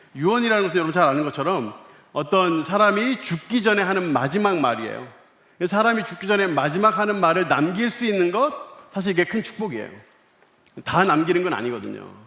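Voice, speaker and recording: A man talks at a fairly quick pace in a high-pitched voice with lively intonation, with audible room echo and noticeable background noise. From Korea, Seoul. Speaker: pastor. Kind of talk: sermon. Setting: church service, broadcast to other floors.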